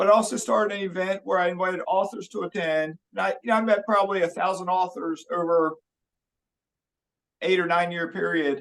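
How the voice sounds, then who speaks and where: With an American accent, a man talks in a high pitch at a fairly quick pace. His intonation stays fairly even. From Maryland, US. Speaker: finance YouTuber, retired police officer. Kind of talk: casual interview chat.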